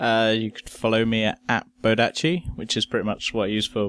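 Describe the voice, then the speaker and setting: A man speaks with an English accent and fairly even intonation. The sound is dry and close, with no echo. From England. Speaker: guest. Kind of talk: casual chat. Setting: remote call from UK.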